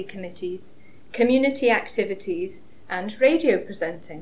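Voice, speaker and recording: Fairly high-pitched woman's voice at a fairly slow pace, over noticeable background noise. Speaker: award presenter. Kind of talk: formal award announcement speech.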